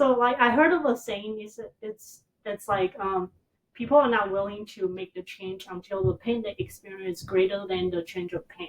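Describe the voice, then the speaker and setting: A woman with a Taiwanese accent talks at a moderate pace and medium pitch, with big swings in loudness. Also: ordinary pitch variation. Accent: Taiwanese Mandarin. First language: Mandarin Chinese. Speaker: therapist. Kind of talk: interview answer.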